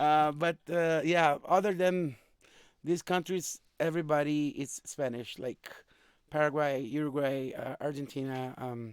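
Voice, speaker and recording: On a very clean recording with a silent background, a man with a Brazilian accent speaks fairly slowly at a fairly high pitch with ordinary pitch variation. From Brazil, Minas Gerais (Coronel Fabriciano). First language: Brazilian Portuguese. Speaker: musician. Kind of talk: casual chat.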